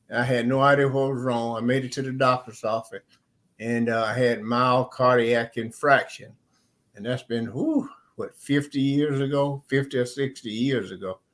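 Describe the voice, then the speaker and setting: The man talks at a medium pitch with monotone, flat intonation. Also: moderate pace. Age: 80s+. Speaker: elderly heart attack survivor guest. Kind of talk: panel discussion testimony. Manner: rambling conversational.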